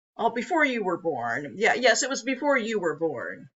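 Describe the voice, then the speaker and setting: A woman performs a put-on character voice at a fairly high pitch. She keeps a moderate pace. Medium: read story. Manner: important-sounding.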